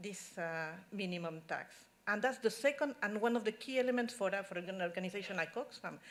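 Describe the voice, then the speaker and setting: A woman with a Spanish accent talks at a fairly quick pace. Her pitch is fairly high and swings very widely. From Spain. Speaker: tax policy expert at an NGO. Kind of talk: conference talk. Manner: halting.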